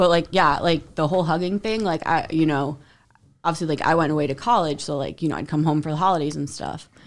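A woman with an American accent, very deep and low in pitch, at a very fast pace with fairly even intonation, on a very clean recording with a silent background. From Central New Jersey. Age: 30s. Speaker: podcast guest. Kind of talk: casual chat.

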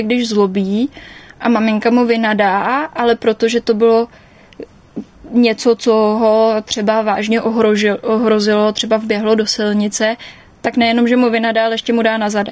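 The woman's pitch is fairly high and her intonation monotone and flat. She keeps a moderate pace. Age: 20s. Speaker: interviewee recovered from anorexia. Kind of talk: personal testimony.

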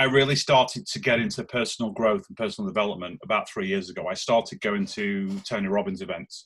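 This man speaks with a Lancashire accent at a fairly quick pace. His pitch swings very widely. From northern England, Lancashire. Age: 40s. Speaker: business investor. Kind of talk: interview. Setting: outdoors in back garden. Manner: halting, repeats words.

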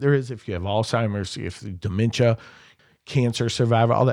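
A man speaks with an American accent and ordinary pitch variation. The recording is very clean, with a silent background. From southern Indiana (Clark County). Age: 50s. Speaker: auctioneer and real estate agent. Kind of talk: podcast interview, casual chat. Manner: animated.

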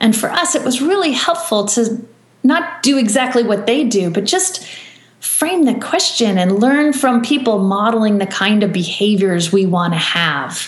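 A woman talks at a moderate pace with a fairly high pitch, very wide pitch swings and very even loudness. Noticeable background noise and audible room echo are present. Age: 40s. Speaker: author and business coach. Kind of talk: interview.

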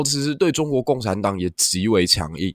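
A man at a moderate pace with very wide pitch swings, on a very clean, silent-background recording with a dry, close sound and no echo. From Taiwan. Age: young. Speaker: podcast host. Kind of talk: solo history and politics commentary.

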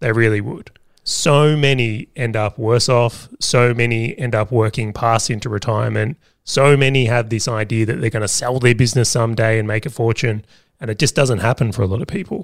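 A man's medium-pitched voice in an Australian accent, with ordinary pitch variation, a fairly quick pace and a very clean recording over a silent background. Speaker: podcast co-host, business owner. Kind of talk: casual chat.

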